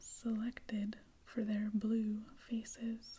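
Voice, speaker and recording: Soft-spoken whispering at a very slow pace, in a gentle tone. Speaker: ASMR reader. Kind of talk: sleep-aid ASMR reading. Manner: soft-spoken, slow, gentle, moving to whispers.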